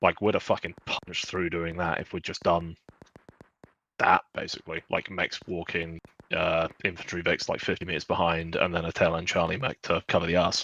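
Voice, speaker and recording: This man has a British accent and a very deep, low pitch. His intonation is monotone and flat, at a moderate pace. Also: dry, close sound with no echo. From Britain. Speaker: gamer. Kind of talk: casual chat.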